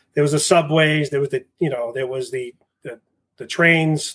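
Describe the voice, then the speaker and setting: A man speaks with a Boston accent. His pitch is fairly high, with ordinary variation. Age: 40s. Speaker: fire captain and instructor. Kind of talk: casual interview chat. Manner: fast talker.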